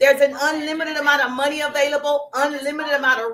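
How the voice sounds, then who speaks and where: A woman's high, bright, sharp voice in a Southern US accent, animated and at a very fast pace. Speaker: business coach. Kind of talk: live stream chat. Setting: social media live stream.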